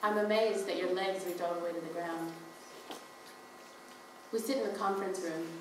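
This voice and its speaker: Amid noticeable background noise, a woman talks at medium pitch with fairly even intonation. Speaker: spoken word performer reading own written piece. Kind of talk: spoken word poetry reading at a live performance event; live reading of a written piece, narrative prose. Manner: reflective, measured narrative reading.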